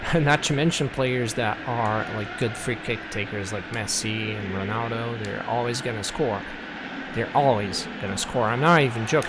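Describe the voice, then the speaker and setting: Speaking at a moderate pace with a non-native accent, a man with a medium pitch and ordinary pitch variation is heard amid noticeable background noise and audible room echo. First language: not English. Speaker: gaming youtuber. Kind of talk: gameplay commentary review. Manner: halting, many fillers; casual.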